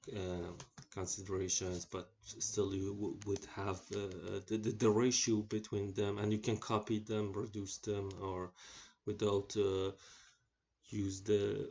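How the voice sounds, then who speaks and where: Somewhat breathy and fairly low-pitched, a man talks very slowly with monotone, flat intonation. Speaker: electronics engineering tutor. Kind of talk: tutorial. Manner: slow, halting with many fillers.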